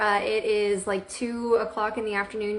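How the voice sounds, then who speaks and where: Over noticeable background noise, a woman with an American accent speaks at a moderate pace, her medium pitch carrying fairly even intonation. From Central Florida, US. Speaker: direct sales director and trainer. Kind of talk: live video training. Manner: casual, many fillers.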